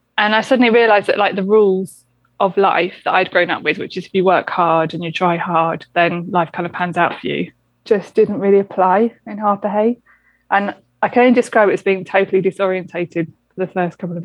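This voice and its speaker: Speaking at a fairly quick pace with fairly even intonation, a woman talks in a southern English accent. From southern England, St Albans. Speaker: doctor. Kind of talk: interview.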